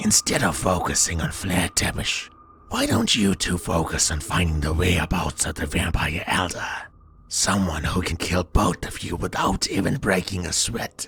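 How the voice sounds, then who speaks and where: In a put-on character voice, a man speaks very deep and low at a moderate pace. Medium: read story. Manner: calm, cold, authoritative.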